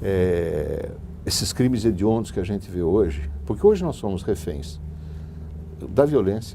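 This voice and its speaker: A man with a fairly low pitch speaks at a fairly slow pace, leaving long, frequent pauses. Audible room echo and noticeable background noise fill the recording. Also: lively intonation. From Brazil, Sorocaba. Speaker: businessman. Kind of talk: interview.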